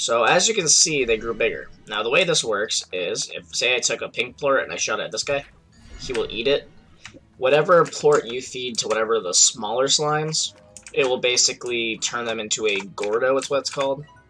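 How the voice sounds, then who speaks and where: Music in the background under a man's moderately paced speech. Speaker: gaming YouTuber. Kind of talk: gameplay commentary. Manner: casual.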